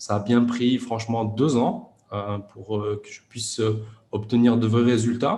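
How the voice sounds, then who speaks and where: A man talks at a fairly slow pace with a medium pitch. His voice is somewhat breathy, with a dark, mellow tone. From France, Grenoble suburbs. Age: 30s. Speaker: e-commerce entrepreneur. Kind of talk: interview. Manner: hesitant, many fillers.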